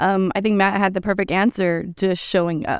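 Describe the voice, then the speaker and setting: Against a silent background on a very clean recording, a woman with an American accent speaks at a fairly quick pace in an ordinary speaking voice with fairly even intonation. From Texas. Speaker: women's self-defense instructor. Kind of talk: casual interview chat.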